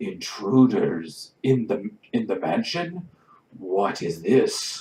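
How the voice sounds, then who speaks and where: In a put-on character voice, a man booms at a medium pitch and a very slow pace. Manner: startled, demanding.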